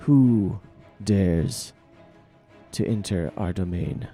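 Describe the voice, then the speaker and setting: With faint music in the background, a man puts on a booming character voice, fairly low in pitch, at a very slow pace. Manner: menacing, commanding.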